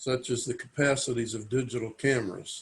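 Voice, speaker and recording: At a moderate pace, a man with a somewhat breathy, medium-pitched voice speaks with fairly even intonation. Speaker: avocational archaeologist. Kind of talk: interview.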